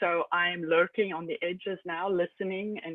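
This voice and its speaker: With a South African accent, a woman talks at a moderate pace and a medium pitch. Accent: South African, still noticeable. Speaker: Linux system administrator. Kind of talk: casual chat.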